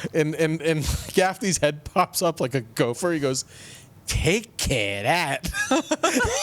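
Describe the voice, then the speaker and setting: The speaker talks very slowly in an American accent, with very wide pitch swings and very even loudness over noticeable background noise. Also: man, fairly high pitch for a man. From New Jersey. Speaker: comedian and podcast host. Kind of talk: casual chat.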